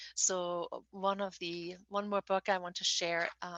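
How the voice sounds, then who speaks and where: A woman speaks very slowly in a German accent. Her pitch is medium and her intonation fairly even. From Germany. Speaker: novelist. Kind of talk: interview. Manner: halting, with frequent fillers and repetitions.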